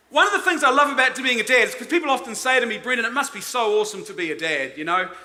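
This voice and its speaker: A man's raised, projected voice in a New Zealand accent, extremely high-pitched and animated in tone, with very wide pitch swings, noticeable background noise and audible room echo. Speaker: conference speaker. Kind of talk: conference talk.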